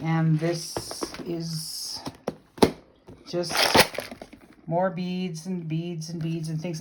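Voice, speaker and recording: The voice belongs to a woman. Noticeable background noise sits around her words. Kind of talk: casual video tour. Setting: home craft room. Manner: rambling, hesitant with fillers.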